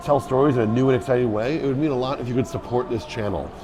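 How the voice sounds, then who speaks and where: Noticeable background noise surrounds the recording. A man speaks at a medium pitch. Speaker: podcast host and tour guide. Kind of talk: podcast intro and casual interview.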